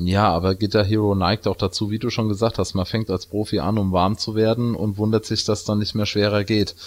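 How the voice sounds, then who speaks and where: A man's fairly low voice, flat and monotone, at a fairly quick pace, on a very clean recording with a silent background. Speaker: video game podcast co-host. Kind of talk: casual chat.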